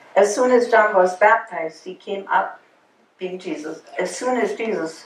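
The speech moves at a fairly slow pace with ordinary pitch variation. Light background noise and audible room echo surround it. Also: woman. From Germany. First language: German. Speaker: Bible class teacher. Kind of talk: Bible study lesson. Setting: church classroom group. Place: classroom.

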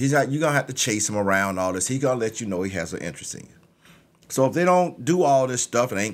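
The man's delivery is very fast. His pitch rises and falls across a very wide range. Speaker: podcast host. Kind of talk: opinion commentary monologue. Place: studio. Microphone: studio mic.

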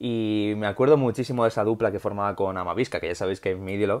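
Over a quiet background, a man speaks at a very fast pace. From Spain. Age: 30s. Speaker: football YouTuber; football commentator vlogger. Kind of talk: solo video commentary. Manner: improvised. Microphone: earbuds.

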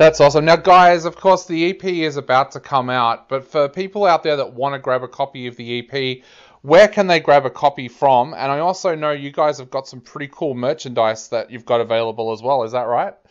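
A man with an Australian accent talks at a fairly quick pace and a fairly high pitch. His loudness swings widely while his pitch varies in an ordinary way. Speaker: music interviewer. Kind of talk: interview. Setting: video or phone call across countries.

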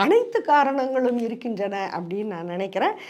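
A woman talks in an ordinary speaking voice with lively intonation. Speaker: political commentator. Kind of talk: political commentary monologue.

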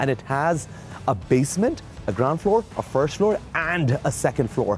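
A man speaks at a fairly slow pace. The sound is dry with no echo, and faint music plays in the background. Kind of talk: property tour commentary. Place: street. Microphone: lapel.

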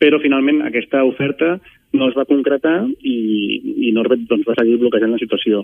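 A man speaks at a moderate pace in an ordinary speaking voice with a medium pitch. His pitch variation is ordinary and his loudness very even. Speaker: housing activist spokesperson. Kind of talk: radio interview. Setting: phone call.

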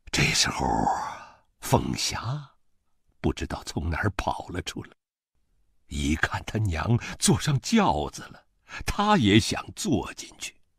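The speech moves at a very slow pace with long, frequent pauses. Loudness swings widely. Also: man. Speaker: voice actor. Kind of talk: audiobook novel reading.

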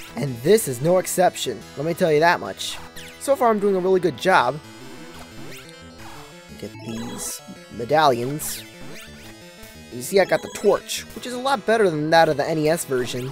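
The speech moves at a moderate pace, broken by long, frequent pauses. Music plays in the background. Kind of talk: gameplay commentary. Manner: occasional slight stuttering.

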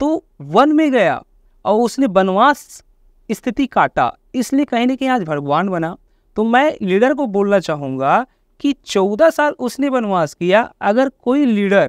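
High-pitched and very slow, a man speaks with very wide pitch swings against a quiet background, the sound dry with no echo. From Chhattisgarh, India (Raipur area); Chhattisgarh, India. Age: 20s. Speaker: network marketing leader; podcast guest. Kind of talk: interview testimony. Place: studio. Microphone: lapel.

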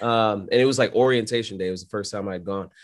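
A man speaking with ordinary pitch variation over a quiet background. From New York City (Brooklyn). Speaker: aircraft maintenance instructor and pilot. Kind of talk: casual interview. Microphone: video call.

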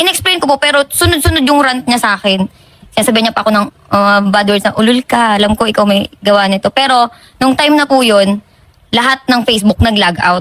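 A woman with a plain, everyday voice speaks at a fairly quick pace and fairly high pitch, with ordinary pitch variation, very even loudness, and a dry, close sound with no echo. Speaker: complainant on a public service show. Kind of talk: personal complaint account.

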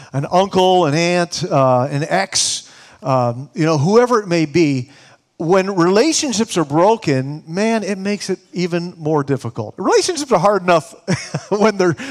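The background stays quiet. Speech proceeds at a moderate pace. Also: man. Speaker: preacher. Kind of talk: sermon. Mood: warm, earnest, light laughs. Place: church. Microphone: headset.

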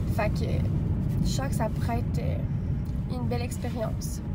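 A woman's voice over loud background noise. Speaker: vlogger. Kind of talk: casual vlog chat. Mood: enthusiastic, dreamy. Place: car. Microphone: phone near.

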